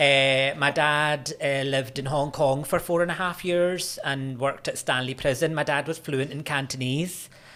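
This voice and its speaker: A man's fairly high voice with a Scottish accent, bright and sharp in tone, fairly even in intonation, with hardly any pauses. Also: moderate pace. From Scotland, Glasgow. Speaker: university lecturer in religious studies. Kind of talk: podcast interview. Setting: studio.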